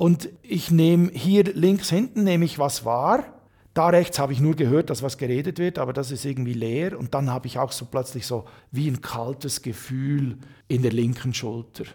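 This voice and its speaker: Fairly high-pitched male voice, dark and mellow, somewhat breathy, at a moderate pace in a very clean recording with a silent background. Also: ordinary pitch variation. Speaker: author and career coach. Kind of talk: interview. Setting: hotel.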